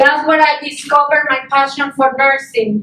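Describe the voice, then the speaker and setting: Over noticeable background noise, a woman with a Mexican accent uses a raised, projected voice at a high pitch with fairly even intonation. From Mexico. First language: Spanish. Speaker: student speaker, nurse assistant. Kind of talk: personal testimony speech.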